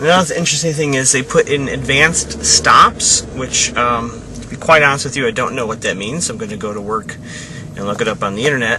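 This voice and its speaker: Fairly quick male speech at medium pitch, ordinary pitch variation, over noticeable background noise. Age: 30s. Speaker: vlogger documenting his adult braces. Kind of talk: casual video diary. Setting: in a car. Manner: halting, many fillers.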